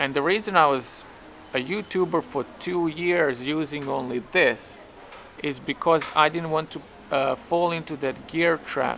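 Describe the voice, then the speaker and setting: This man has a Serbian accent and a fairly high pitch. He speaks at a fairly slow pace with ordinary pitch variation. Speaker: YouTuber. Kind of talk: vlog monologue. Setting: outdoors on a street. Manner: halting.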